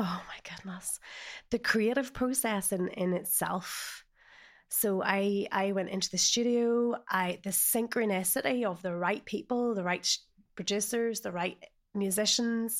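On a very clean recording with a silent background, a woman in a Northern Irish accent speaks at a fairly slow pace, medium in pitch with ordinary pitch variation. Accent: Northern Irish (Ulster). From Northern Ireland, north Antrim. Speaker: life coach. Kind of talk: personal testimony interview.

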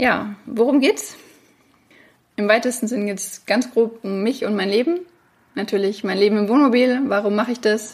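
A woman's fairly high voice with ordinary pitch variation, a moderate pace and long, frequent pauses. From Franconia, Germany (near Bamberg). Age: 30s. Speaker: podcast host and online French teacher. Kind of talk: solo podcast monologue.

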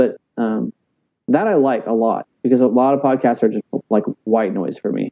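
A man in a Texan accent, medium in pitch, with lively intonation at a moderate pace. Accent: Texan American. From South Texas, Corpus Christi. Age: 30s. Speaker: pastor. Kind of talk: casual chat. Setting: video call.

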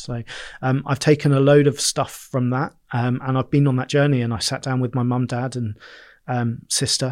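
The delivery is fairly quick and monotone, with flat intonation, in a very clean recording with a silent background. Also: man. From southern England, Bournemouth. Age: 30s. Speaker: events company director. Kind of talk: interview conversation.

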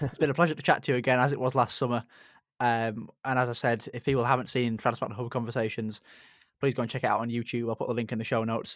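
A man talks at medium pitch and a very fast pace. His intonation is monotone and flat. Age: 20s. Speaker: podcast host, kidney transplant recipient. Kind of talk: casual interview chat.

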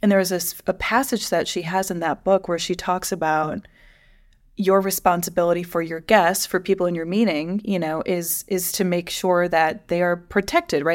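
In a very clean recording with a silent background, a woman with a normal speaking voice talks at a fairly low pitch and a moderate pace with fairly even intonation. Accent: American. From US Midwest. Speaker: podcast co-host, higher education professional. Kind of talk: casual chat.

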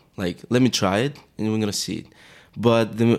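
Here a man speaks with a Greek accent. His pace is moderate. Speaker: fashion model. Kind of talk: casual interview chat. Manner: halting, searching for words.

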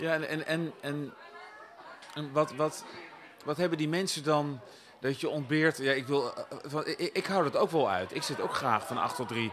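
Fairly high-pitched man's voice with crowd noise in the background. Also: ordinary pitch variation, fairly slow pace. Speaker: podcast host. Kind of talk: casual interview. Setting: live at a wine bar in a festival foyer.

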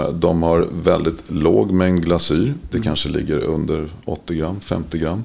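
Over noticeable background noise, the speech moves at a very slow pace with hardly any pauses and ordinary pitch variation. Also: man, very deep, low pitch for a man. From Sweden, Örebro. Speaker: ceramic tile industry expert. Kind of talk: casual interview. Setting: studio.

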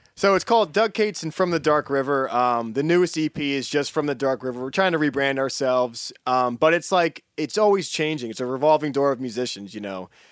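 In an ordinary speaking voice with an American accent, a man talks at a fairly quick pace with hardly any pauses, fairly high in pitch, his intonation lively. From Poconos, Pennsylvania. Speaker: musician. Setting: studio.

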